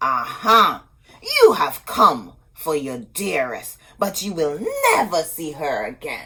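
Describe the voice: This put-on character voice has a bright, sharp tone. Its pitch swings very widely at a slow pace. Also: woman, low pitch for a woman.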